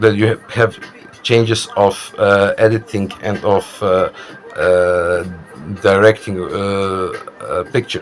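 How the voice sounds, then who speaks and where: Over noticeable background noise, a man with a fairly low pitch speaks fairly slowly in a flat monotone, leaving long, frequent pauses. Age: 30s. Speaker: vlogger. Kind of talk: casual monologue. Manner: halting, many fillers.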